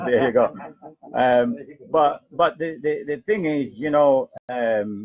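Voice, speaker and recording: In a Jamaican accent, a man speaks at a very slow pace. His pitch is fairly high. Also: lively intonation. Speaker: internet radio host. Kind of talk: live talk radio. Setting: live radio broadcast streamed on Facebook.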